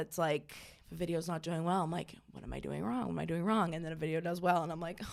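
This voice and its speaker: Talking very fast with an American accent, a woman uses a fairly low pitch, vocal fry and fairly even intonation. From Maine, US. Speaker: comedian and content creator. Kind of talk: casual chat.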